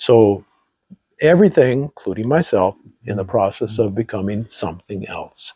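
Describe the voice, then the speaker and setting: A man with a fairly low pitch and a dark, mellow tone speaks at a moderate pace, his intonation lively and his loudness swinging widely, in a dry, close sound with no echo. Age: 70s. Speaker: podcast co-host. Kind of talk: casual chat. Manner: halting.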